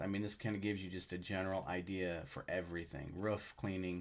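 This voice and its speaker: Here a man speaks at a fairly low pitch. His intonation is fairly even. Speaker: power washing business youtuber. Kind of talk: tutorial. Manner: fast; casual, halting with fillers.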